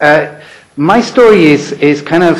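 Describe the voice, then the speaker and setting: With a London accent, a man talks in a lively intonation over audible room echo. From England, London. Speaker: former UN human rights official, conference speaker. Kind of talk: conference talk. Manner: halting, many fillers and repetitions.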